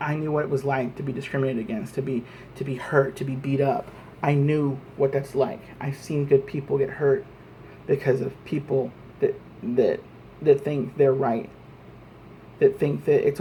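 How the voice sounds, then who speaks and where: Long, frequent pauses break up a man's speech in an American accent. His pitch is fairly high and his intonation fairly even. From Texas, Lubbock. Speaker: vlogger. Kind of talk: political rant monologue. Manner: fast; halting, repetitive.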